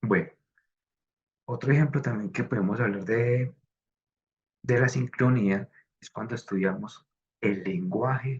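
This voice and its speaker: A somewhat breathy man's voice of medium pitch at a moderate pace. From Colombia, coffee region. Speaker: design student. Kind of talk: class presentation. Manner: hesitant, many fillers.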